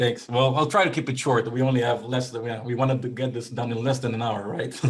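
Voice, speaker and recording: The speech is very fast, with fairly even intonation. Noticeable background noise and audible room echo fill the recording. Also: man, medium pitch for a man. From Israel. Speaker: real estate investment executive. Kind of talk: interview. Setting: video call. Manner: hesitant, many fillers.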